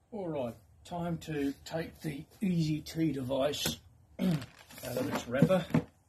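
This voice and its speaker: Over noticeable background noise, a man speaks at a very slow pace in a fairly high pitch with ordinary pitch variation. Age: 60s. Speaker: golf vlogger. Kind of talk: product review.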